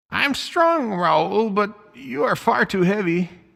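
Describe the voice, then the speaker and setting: Putting on a croaky character voice, a man speaks at a fairly slow pace with a high pitch. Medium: read story. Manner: enthusiastic, talkative.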